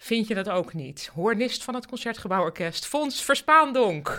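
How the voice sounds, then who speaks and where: On a very clean recording with a silent background, a woman speaks at a very slow pace with very wide pitch swings. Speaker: podcast host. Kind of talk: interview. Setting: home office.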